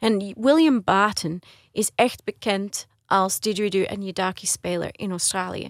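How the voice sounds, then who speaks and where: In a very clean recording with a silent background, a woman speaks with a normal speaking voice at medium pitch. Her pace is fairly slow, her pitch varies in an ordinary way, and the sound is dry and close with no echo. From Australia (Brisbane), Dutch-speaking home. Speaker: soprano singer. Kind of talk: radio interview, casual chat. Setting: radio studio.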